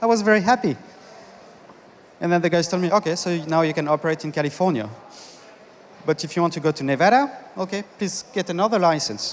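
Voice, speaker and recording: Very fast speech in a French accent. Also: man. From France. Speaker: conference speaker, business consultant. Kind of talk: conference talk. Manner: halting.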